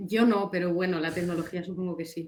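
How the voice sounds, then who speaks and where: A woman talks at a very fast pace in a fairly low pitch. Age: 20s. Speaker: fencer, elite athlete. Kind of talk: interview.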